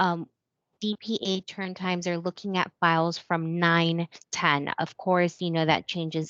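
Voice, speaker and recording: A woman with an American accent has a normal speaking voice and a fairly low pitch, talking at a moderate pace. The sound is dry and close with no echo, over a quiet background. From California. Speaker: lender training moderator. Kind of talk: webinar Q&A.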